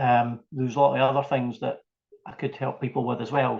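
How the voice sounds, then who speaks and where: A man with a Scottish accent, medium pitch and vocal fry, at a fairly quick pace. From Scotland, Fife. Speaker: small business owner. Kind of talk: interview.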